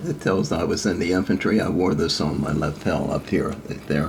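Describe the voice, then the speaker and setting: In a very deep, low voice, a man speaks at a fairly quick pace amid noticeable background noise and audible room echo. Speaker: war veteran. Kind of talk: oral history interview. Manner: halting.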